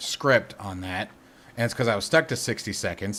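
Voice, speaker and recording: This man has a bright, sharp tone and ordinary pitch variation. He talks at a fairly quick pace. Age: 40s. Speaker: gaming and flight sim streamer. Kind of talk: live stream chat while gaming. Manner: repetitive, trips over words; casual, unscripted.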